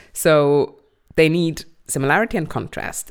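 A woman talks at a moderate pace in a very deep, low pitch. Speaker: podcast host. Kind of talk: casual chat. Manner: loud; animated.

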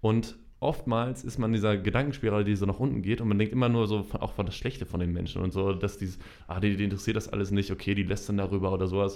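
Speaking at a very fast pace, a man's voice sits at a fairly low pitch. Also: fairly even intonation. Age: 20s. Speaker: social media marketer. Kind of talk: casual chat. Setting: studio.

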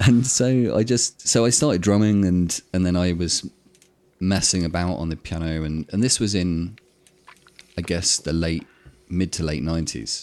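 A man talks at a moderate pace with a southern English accent and a very deep, low pitch. His tone is dark and mellow, and his intonation is lively. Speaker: electronic music producer. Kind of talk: casual interview. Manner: halting.

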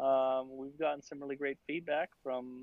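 A plain, everyday voice. The man talks at a fairly slow pace and a medium pitch. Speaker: VR museum developer. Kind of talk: interview conversation.

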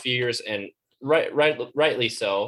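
Speaking at a moderate pace, a man has a Midwestern US accent. His pitch varies in an ordinary way. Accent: US Midwest. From Iowa, US Midwest. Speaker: co-host, student. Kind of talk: casual chat. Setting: video call.

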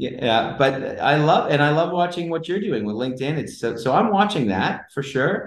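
A man's fairly high-pitched, plain, everyday voice with lively intonation, at a moderate pace with hardly any pauses. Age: 40s. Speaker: entrepreneur. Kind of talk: casual chat.

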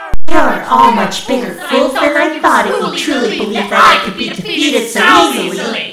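A put-on character voice, fairly high-pitched, with hardly any pauses and slight echo. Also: moderate pace. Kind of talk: audio drama villain acting. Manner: gloating, theatrical menace.

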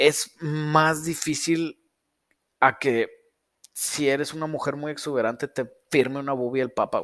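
A man talks at a fairly high pitch with fairly even intonation. His pace is fairly slow, with long, frequent pauses. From northern Mexico. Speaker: car tuning shop owner and livestream host. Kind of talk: casual livestream Q&A.

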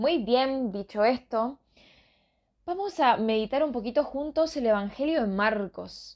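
Using lively intonation, a woman with a high pitch speaks at a fairly slow pace. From northern Argentina. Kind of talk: religious reflection / Bible meditation.

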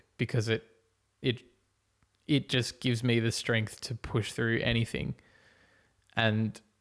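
A man with an Australian accent talks at a fairly slow pace and a medium pitch. His intonation is monotone and flat, on a very clean recording with a silent background. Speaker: podcast host. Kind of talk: casual monologue. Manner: rambling, casual with laughs.

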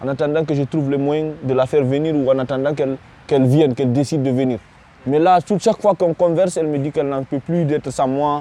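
Speaking at a very fast pace, a man with a fairly high pitch and a dark, mellow tone keeps his intonation fairly even. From Guinea. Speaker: refugee, student. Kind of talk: testimony. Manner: halting, many repetitions.

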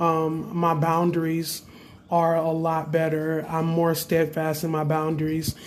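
Against noticeable background noise and audible room echo, a man with a fairly high pitch speaks in a monotone, flat intonation. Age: 20s. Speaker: spiritual practitioner podcaster. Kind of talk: casual monologue.

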